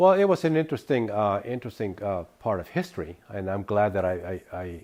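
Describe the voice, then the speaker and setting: Through a very clean recording with a silent background, a man with a Spanish accent talks at a fairly quick pace in a dark, mellow tone. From northern California (Davis), from age nine; born in Sonora, Mexico. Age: 60s. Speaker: interviewee recounting immigrant life. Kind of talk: interview testimony. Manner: halting, many fillers and repetitions.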